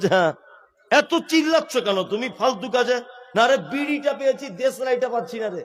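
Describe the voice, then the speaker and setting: This man's voice sits extremely high in pitch, with ordinary variation in its rise and fall. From West Bengal, India. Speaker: Islamic preacher. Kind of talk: sermon. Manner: animated.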